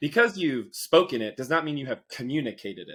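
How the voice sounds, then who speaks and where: At a very fast pace, a man speaks with ordinary pitch variation. It is a very clean recording, with a silent background. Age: 30s. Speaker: public speaker and communication expert. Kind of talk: interview.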